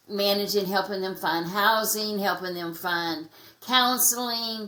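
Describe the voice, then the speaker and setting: A woman with an American accent and a medium pitch talks at a fairly slow pace with ordinary pitch variation. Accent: redneck. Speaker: anti-trafficking advocate. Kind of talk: podcast interview. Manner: halting.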